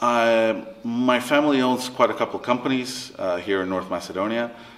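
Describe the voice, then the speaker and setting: With a Spanish accent, a man speaks at a moderate pace and with ordinary pitch variation. Noticeable background noise runs underneath. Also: medium pitch for a man. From Latin America, mixed international upbringing. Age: 30s. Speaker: interviewee, family business worker. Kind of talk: interview. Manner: halting.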